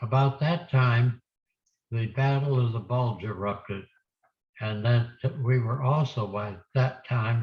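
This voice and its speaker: Speaking at a very slow pace, a man with a medium-pitched, somewhat breathy voice keeps his intonation fairly even. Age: 80s+. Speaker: war veteran. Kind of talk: oral history talk to students.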